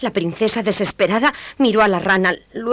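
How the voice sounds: This is a natural reading voice. That is how it comes across.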